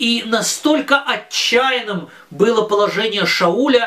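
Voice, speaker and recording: A man speaks in a raised, projected voice that is extremely high in pitch, with ordinary pitch variation. Noticeable background noise is present. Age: 40s. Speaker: religious teacher for children. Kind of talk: lesson. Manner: halting, with many filler sounds.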